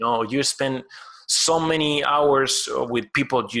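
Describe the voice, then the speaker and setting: Speaking at a fairly slow pace with a Spanish accent, a man has a bright, sharp tone, medium pitch and ordinary pitch variation. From Argentina. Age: 30s. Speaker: collectibles sculptor. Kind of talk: interview. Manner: halting.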